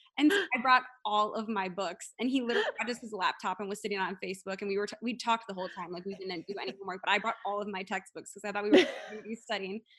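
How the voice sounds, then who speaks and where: Over noticeable background noise, a woman talks at a very fast pace with hardly any pauses, fairly even intonation, and big swings in loudness. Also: medium pitch for a woman. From US Midwest, Wisconsin. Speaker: hockey player's wife. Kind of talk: casual chat.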